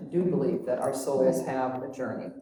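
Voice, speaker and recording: At a moderate pace, a woman with a very deep, low pitch speaks with fairly even intonation amid audible room echo. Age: 70s. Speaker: spiritual group facilitator. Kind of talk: personal sharing in group conversation. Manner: halting, many fillers.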